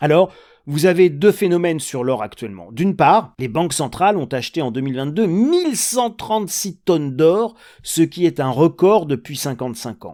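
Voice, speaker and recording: The voice has a dark, mellow tone and moves at a moderate pace. Its intonation is lively. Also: man, fairly high pitch for a man, very clean recording, silent background. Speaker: economics commentator. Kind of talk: monologue commentary. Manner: conversational, direct address to viewers.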